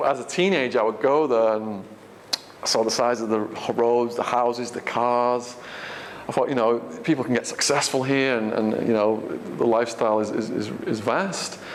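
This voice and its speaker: Delivered at a moderate pace with fairly even intonation, the speech comes in an English accent amid audible room echo and noticeable background noise. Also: man, medium pitch for a man. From England. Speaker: author and ex-prisoner giving a talk. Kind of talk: audience Q&A. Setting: stage with audience. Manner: halting, many fillers.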